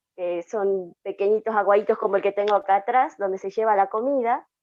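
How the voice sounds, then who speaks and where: A fairly high-pitched woman's voice with an Andean accent at a moderate pace. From Aymara highland communities, Andes. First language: Aymara (speaking Spanish). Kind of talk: panel discussion, personal testimony. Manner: hesitant, many fillers.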